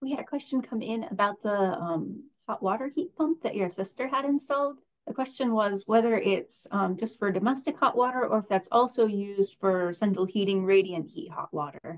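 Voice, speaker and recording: Against a quiet background, a woman with a fairly high pitch speaks at a moderate pace with lively intonation. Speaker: event moderator. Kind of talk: moderated Q&A. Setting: video call. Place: home room. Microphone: webcam.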